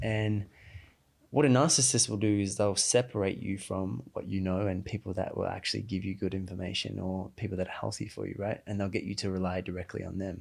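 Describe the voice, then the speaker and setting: A man speaks with a fairly low pitch. His intonation shows ordinary pitch variation. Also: very clean recording, silent background. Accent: Australian. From Australia. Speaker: emotional intelligence coach. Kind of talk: podcast interview. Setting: studio.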